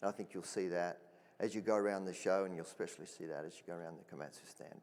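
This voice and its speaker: Delivered at a very fast pace in an Australian accent, the speech has big swings in loudness. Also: man, very deep, low pitch for a man, fairly even intonation. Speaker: mining equipment executive. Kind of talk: panel discussion.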